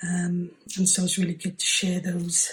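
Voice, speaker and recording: Soft-spoken and fairly low-pitched, a woman talks at a very slow pace. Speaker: craft channel host. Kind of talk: tutorial. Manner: hesitant with many fillers.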